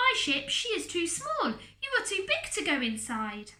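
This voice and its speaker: In a put-on, squeaky character voice, a woman speaks at an extremely high pitch with very wide pitch swings and a moderate pace. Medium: read story. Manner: halting, broken English.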